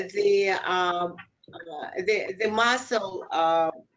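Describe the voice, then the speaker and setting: A woman with a Russian accent, very slow in pace, with audible room echo. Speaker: clinical psychologist. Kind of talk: lecture. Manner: halting.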